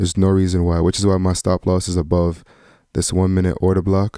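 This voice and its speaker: A man with a very deep, low pitch and a dark, mellow tone talks at a fairly quick pace, recorded very cleanly over a silent background with a dry, close sound and no echo. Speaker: day trader. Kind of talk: trading commentary. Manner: casual.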